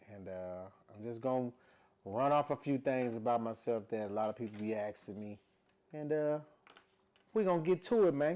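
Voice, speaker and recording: A man with an American accent talks at a moderate pace in a dark, mellow, relaxed tone. His intonation is lively, with big swings in loudness and long, frequent pauses. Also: medium pitch for a man. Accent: doesn't sound like he's from Louisiana. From Louisiana, US South (Shreveport). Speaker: musician and podcaster. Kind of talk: casual vlog monologue. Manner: relaxed, conversational, many fillers.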